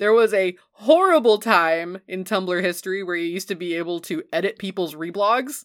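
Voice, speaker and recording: Delivered at a moderate pace, a plain, everyday voice carries ordinary pitch variation. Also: woman, medium pitch for a woman, hardly any pauses. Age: 30s. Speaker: podcast co-host. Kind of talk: casual chat. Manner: laughs often.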